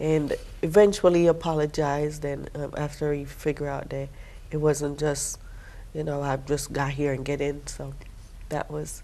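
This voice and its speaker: At a moderate pace, a dark, mellow tone delivers monotone, flat intonation in a Jamaican accent. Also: woman, very deep, low pitch for a woman. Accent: Jamaican accent, noticeable. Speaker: military veteran, financial aid staff. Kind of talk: TV interview.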